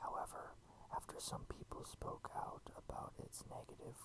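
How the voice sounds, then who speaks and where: Amid noticeable background noise, a fairly slow whisper can be heard. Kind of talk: ASMR game walkthrough. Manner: whispered.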